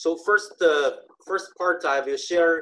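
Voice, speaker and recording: A man with a Chinese accent and a fairly high pitch talks at a fairly slow pace with ordinary pitch variation, the sound dry and close with no echo. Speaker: conference speaker on online selling. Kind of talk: conference talk. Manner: halting, many fillers.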